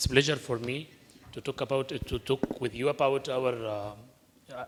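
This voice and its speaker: This man speaks with an Arabic accent at a moderate pace. His pitch is medium and his intonation fairly even. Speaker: climate researcher. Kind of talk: panel presentation.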